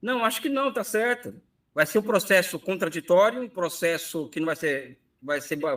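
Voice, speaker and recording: Speaking at a moderate pace, a man uses a bright, sharp tone and lively intonation. The recording is very clean, with a silent background. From Brazil, São Paulo city. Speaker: economist professor. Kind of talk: interview conversation.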